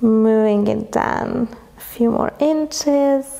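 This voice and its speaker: Over noticeable background noise, a woman with a Hungarian accent speaks in a calm, relaxed tone at a fairly high pitch. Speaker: yoga instructor. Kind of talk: yoga class instruction.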